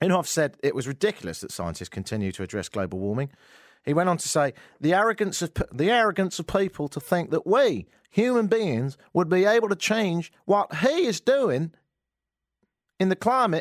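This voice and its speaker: Very wide pitch swings mark an animated voice with an English accent at a moderate pace, on a very clean, dry, close recording with no echo and a silent background. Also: man, high pitch for a man. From England. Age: 50s. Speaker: radio host. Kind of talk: casual radio talk show. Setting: radio studio. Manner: animated, joking.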